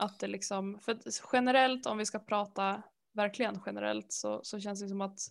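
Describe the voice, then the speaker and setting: A woman speaks at a moderate pace and medium pitch in a very clean recording with a silent background. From Sweden, Härnösand (Norrland). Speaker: podcast co-host, knitter. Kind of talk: casual chat.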